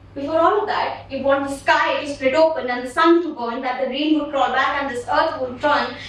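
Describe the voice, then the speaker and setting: Over noticeable background noise, a woman talks in a high pitch at a moderate pace. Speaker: slam poet. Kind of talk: slam poetry performance. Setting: live event.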